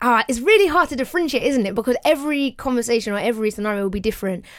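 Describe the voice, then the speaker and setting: A woman's very fast, lively speech in a fairly high pitch with a British accent. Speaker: podcast co-host. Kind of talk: casual banter podcast chat.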